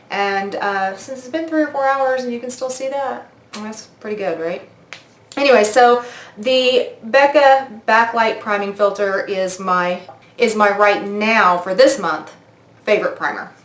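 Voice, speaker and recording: A woman talks at a fairly slow pace, her pitch fairly high with ordinary variation and her loudness swinging widely. Noticeable background noise and audible room echo fill the recording. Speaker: beauty vlogger. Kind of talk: product review vlog.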